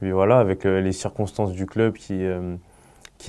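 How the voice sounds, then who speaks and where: With a dark, mellow tone and monotone, flat intonation, a man speaks at a moderate pace in a fairly low voice. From Paris region, France; France. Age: 20s. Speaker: professional footballer. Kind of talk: interview. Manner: halting. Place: studio.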